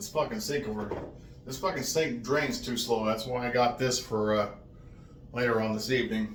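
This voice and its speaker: Mumbling in an American accent with fairly even intonation, this speaker is heard over noticeable background noise and audible room echo. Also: man. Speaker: vlogger. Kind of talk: casual vlog rant. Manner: mumbling, runs words together; deliberately slowed.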